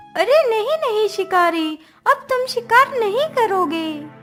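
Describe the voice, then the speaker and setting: In a cartoonish character voice, a female-sounding speaker goes at a very slow pace with an extremely high pitch while faint music plays in the background. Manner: gentle, reassuring.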